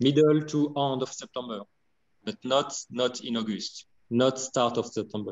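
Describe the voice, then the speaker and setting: A man in a French accent at a moderate pace. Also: medium pitch for a man, ordinary pitch variation. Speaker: winemaker. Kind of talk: interview. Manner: halting.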